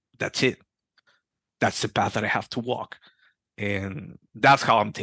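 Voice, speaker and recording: A man with a Spanish accent at a moderate pace, with long, frequent pauses, in a dry, close recording free of echo. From Peru. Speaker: Freemason. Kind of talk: interview. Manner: halting.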